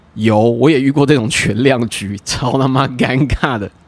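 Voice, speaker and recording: With a Taiwanese accent, a man speaks at medium pitch in an animated tone, with ordinary pitch variation. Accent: Taiwanese Mandarin. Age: 30s. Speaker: podcast host. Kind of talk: casual monologue.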